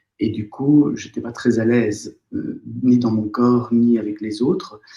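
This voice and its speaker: Very slowly, a man speaks in a medium pitch with fairly even intonation. His tone is dark and mellow. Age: 60s. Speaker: former surgeon turned psychotherapist. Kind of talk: interview. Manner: hesitant, many fillers.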